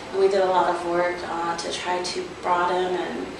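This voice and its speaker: A woman talks with an American accent. There is audible room echo and noticeable background noise. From Rosebud Reservation, South Dakota, USA. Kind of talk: interview answer. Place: meeting room.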